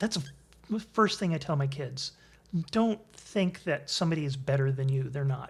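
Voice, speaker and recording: Somewhat breathy and fairly high in pitch, a man with an American accent talks at a moderate pace with lively intonation. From Connecticut, US. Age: 60s. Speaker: improv comedian. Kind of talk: interview.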